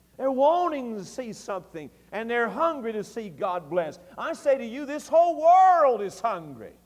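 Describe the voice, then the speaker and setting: A man with a Tennessee accent speaks at an extremely high pitch and a moderate pace, with hardly any pauses. His voice shows very wide pitch swings and big swings in loudness. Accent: Southern US (Tennessee). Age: 40s. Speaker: pastor. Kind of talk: early-2000s Southern Baptist evening sermon, fervent revival-style exhortation. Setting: church service. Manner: impassioned, rising preacher's cadence with repeated emphatic phrases.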